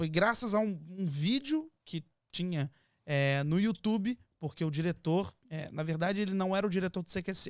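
This man's voice sits high in pitch, with ordinary pitch variation at a moderate pace. The sound is dry with no echo, and the background is quiet. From Brazil. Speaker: TV presenter and actor. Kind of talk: casual chat. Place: studio. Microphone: studio mic.

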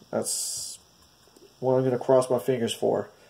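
A man's medium-pitched, nasal voice with a dark, mellow tone and vocal fry

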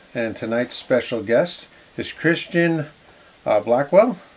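Here a man speaks at a fairly slow pace. His pitch is fairly high. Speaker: real estate agent and live show host. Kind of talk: casual live-stream interview. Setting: live video stream.

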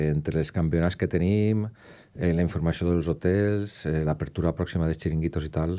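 A man's very deep, low voice with a dark, mellow tone over a quiet background. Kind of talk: interview answer. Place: studio. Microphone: studio mic.

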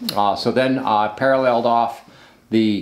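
A man speaks at a medium pitch, at a fairly slow pace, with fairly even intonation. Some room echo can be heard.

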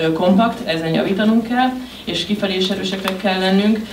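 The delivery is very fast. Noticeable background noise sits under it. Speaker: interpreter translating the coach into Hungarian. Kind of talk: consecutive interpreting at a press conference. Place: meeting room. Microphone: podium.

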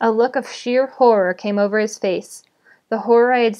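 Fairly even intonation marks this natural reading voice, heard against a quiet background.

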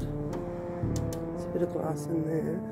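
A woman speaks over loud music in the background. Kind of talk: casual vlog commentary. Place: empty room. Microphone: phone near.

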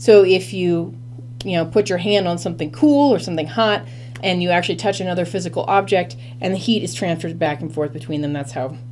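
A woman with a very deep, low pitch, lively intonation and a fairly quick pace, over light background noise. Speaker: biology lecturer. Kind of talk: lecture. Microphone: webcam.

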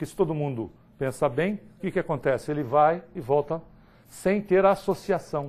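Using a fairly high pitch, a man speaks at a fairly slow pace with ordinary pitch variation. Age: 50s. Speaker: spiritist lecturer. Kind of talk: lecture. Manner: animated. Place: hall.

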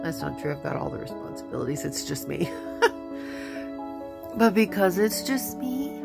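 A woman at a moderate pace with long, frequent pauses, clear music in the background. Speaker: grandmother vlogger. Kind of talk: casual talk to camera. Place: home room. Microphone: phone near.

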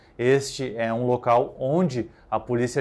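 The man speaks with monotone, flat intonation. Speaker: police news reporter. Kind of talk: newsreading. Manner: formal, measured, neutral tone. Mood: neutral, serious. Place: studio. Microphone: lapel.

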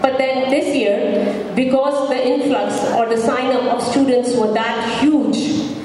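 Over clear background noise with audible room echo, a woman speaks slowly in a high pitch with fairly even intonation.

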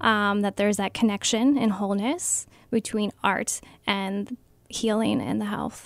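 A woman with a Midwestern American accent and a fairly high pitch speaks at a fairly slow pace against a quiet background, the sound dry with no echo. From Ohio, Stark County; Ohio. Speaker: art therapist. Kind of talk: radio interview. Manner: hesitant, many ums. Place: studio.

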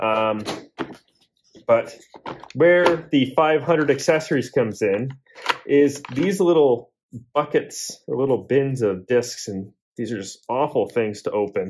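Slow and lively in intonation, a man talks with a slightly mellow tone and a slightly husky edge. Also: medium pitch for a man.

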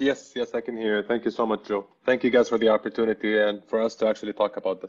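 Against a quiet background, a man speaks very fast in a flat monotone. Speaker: telecom brand communications director; panelist. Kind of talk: webinar panel discussion. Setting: online webinar. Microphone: video call.

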